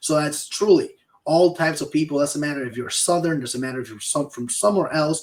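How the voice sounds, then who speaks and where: A man with a Peruvian accent speaks with lively intonation. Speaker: insurance sales podcast co-host. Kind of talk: casual chat.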